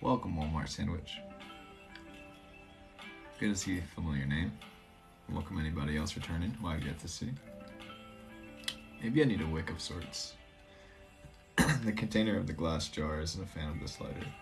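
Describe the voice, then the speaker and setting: The speaker talks at a moderate pace with ordinary pitch variation and long, frequent pauses. Clear music plays in the background. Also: man, very deep, low pitch for a man. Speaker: tarot live streamer. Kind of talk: casual live stream chat. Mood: calm, relaxed, playful. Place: home room. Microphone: phone near.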